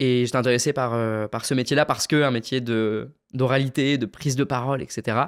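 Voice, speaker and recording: Fairly quick speech from a man at medium pitch, fairly even in intonation, on a very clean recording with a silent background. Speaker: public speaking trainer. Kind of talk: podcast interview. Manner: fast.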